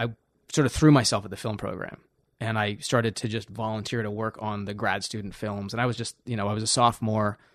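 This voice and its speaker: In a quiet background, a man with an ordinary speaking voice talks at a medium pitch. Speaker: cinematographer. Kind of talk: casual chat. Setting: home studio.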